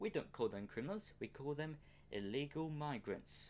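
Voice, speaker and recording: The speaker has a British accent. He is a man whose pitch sits fairly high. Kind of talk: political rant to camera. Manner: angry, profane.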